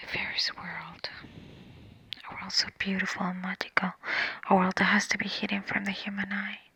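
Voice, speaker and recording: Through long, frequent pauses and noticeable background noise, the woman whispers at a moderate pace. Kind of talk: ASMR story reading. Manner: soft-spoken.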